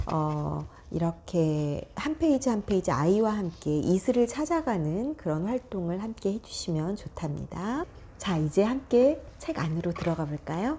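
At a fairly slow pace, a woman talks with very wide pitch swings over light background noise. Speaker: early childhood book educator. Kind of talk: tutorial. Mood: warm, friendly, gently animated. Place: classroom. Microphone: lapel.

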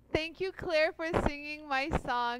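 A woman with ordinary pitch variation. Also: dry sound with no echo. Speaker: live show host. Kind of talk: casual live stream chat. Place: studio. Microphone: headset.

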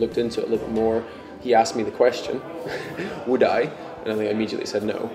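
A man speaks while clear music sounds behind him. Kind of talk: interview answer. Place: office.

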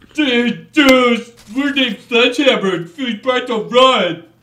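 In a put-on character voice, a man speaks at an extremely high pitch, raised and projected. He goes at a fairly slow pace. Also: ordinary pitch variation. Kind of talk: casual, slangy. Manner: mocking.

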